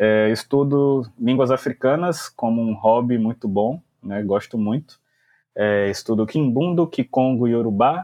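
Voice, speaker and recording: A man at a medium pitch, fairly slow, with ordinary pitch variation. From Brazil, Salvador (Bahia). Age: 20s. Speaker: English teacher and language school founder. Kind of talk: casual interview.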